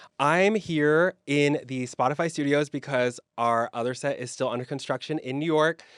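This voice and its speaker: A man's ordinary speaking voice, fairly high in pitch with ordinary pitch variation, at a moderate pace, dry and close with no echo against a quiet background. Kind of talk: podcast conversation.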